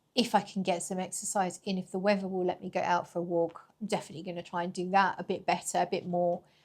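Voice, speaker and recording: In a British accent, a woman of medium pitch talks at a very fast pace in a flat monotone. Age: 40s. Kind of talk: casual talk to camera.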